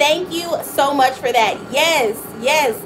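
A loud, animated woman with a high-pitched voice speaks over noticeable background noise. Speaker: small business owner, live streamer. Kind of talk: casual live stream chat. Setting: home studio, live stream. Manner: talkative, animated. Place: office. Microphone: phone near.

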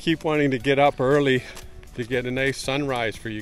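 Moderate pace, dry sound with no echo, and faint music in the background. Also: man. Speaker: travel vlogger. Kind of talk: casual vlog chat. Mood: cheerful, laughing. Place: street. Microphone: phone near.

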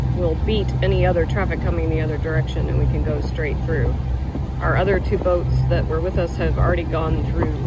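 Loud noise fills the background. The sound itself is dry, with no echo. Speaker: travel vlogger. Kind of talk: casual vlog chat. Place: boat.

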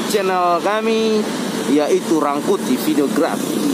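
The pace is fairly slow, set against loud background noise. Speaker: bus-spotting vlogger. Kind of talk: casual vlog chat. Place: street. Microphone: phone near.

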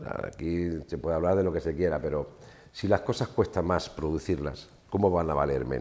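Vocal fry colors a fairly quick delivery with ordinary pitch variation. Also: man. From Spain, Ciudad Real (La Mancha); Castile-La Mancha, Spain. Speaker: farmer and agricultural association leader; guest. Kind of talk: casual interview. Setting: studio with small audience. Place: studio. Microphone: lapel.

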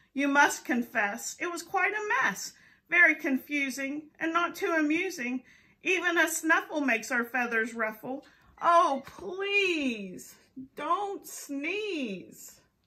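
A woman puts on a character voice, raised and projected, pitched high and delivered at a fairly slow pace. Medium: read story. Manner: fussy, pleading.

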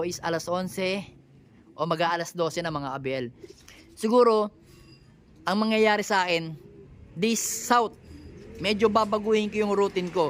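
Speech comes at a moderate pace, broken by long, frequent pauses. Noticeable background noise runs underneath. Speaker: pigeon fancier vlogger. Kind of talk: casual vlog narration.

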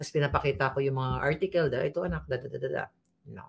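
Moving at a fairly quick pace, a woman speaks at a very deep, low pitch with vocal fry. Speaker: political commentator. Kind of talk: impassioned online commentary. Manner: animated, emphatic.

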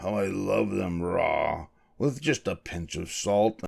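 Putting on a character voice, a man speaks at a slow pace with a low pitch and ordinary pitch variation, his tone slightly mellow with vocal fry and a slightly husky edge.

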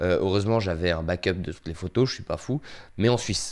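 Over a very clean recording with a silent background, a man speaks in a very deep, low pitch with ordinary pitch variation. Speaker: YouTuber, amateur filmmaker. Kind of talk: casual vlog update. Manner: low energy; hesitant, many fillers.

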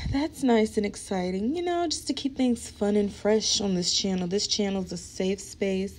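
With lively intonation, a woman speaks in a dark, mellow tone. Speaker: beauty vlogger and musician; beauty vlogger. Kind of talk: get-ready-with-me vlog. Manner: casual, chatty. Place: home room. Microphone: phone near.

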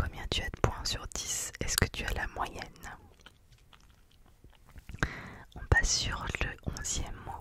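A soft-spoken woman whispers at a very slow pace, with big swings in loudness. The sound is dry with no echo, over noticeable background noise. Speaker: ASMR creator. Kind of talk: soft whispered ASMR quiz. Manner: soft close-mic ASMR whisper. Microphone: studio mic.

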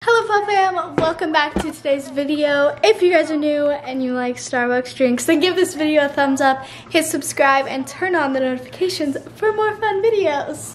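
Over light background noise, a woman with a high pitch talks with hardly any pauses and ordinary pitch variation. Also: moderate pace. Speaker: vlogger. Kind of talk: casual vlog chat. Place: home room. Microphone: phone near.

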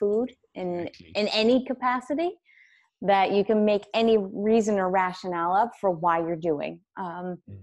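A woman speaks in a normal speaking voice at a medium pitch and moderate pace. Her pitch variation is ordinary, and the background is quiet. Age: 30s. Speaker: wellness coach and author; podcast guest. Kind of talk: casual interview. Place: home room. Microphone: earbuds.

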